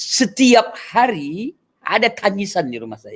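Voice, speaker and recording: His pitch rises and falls across a very wide range. This man talks very slowly. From Aceh (Sigli, Pidie), later Medan. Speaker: pastor. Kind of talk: testimony.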